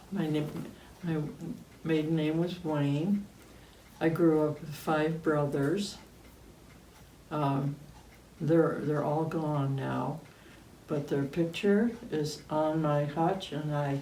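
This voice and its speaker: A very slow American accent with long, frequent pauses and audible room echo. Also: woman. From upstate New York, Cayuga County. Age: 80s+. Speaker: interviewee recalling local memories. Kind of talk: oral history interview. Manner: hesitant, many fillers.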